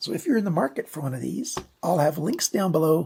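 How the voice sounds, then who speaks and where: A woman's fairly low voice carries a dark, mellow tone and sounds somewhat breathy. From Canada. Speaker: knife reviewer. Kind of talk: product review. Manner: casual, conversational.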